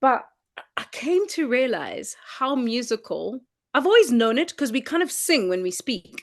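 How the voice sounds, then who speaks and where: A high-pitched woman with a South African accent, very wide pitch swings and a moderate pace against a quiet background. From South Africa, Transkei (Eastern Cape). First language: Xhosa. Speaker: singer-songwriter. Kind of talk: interview.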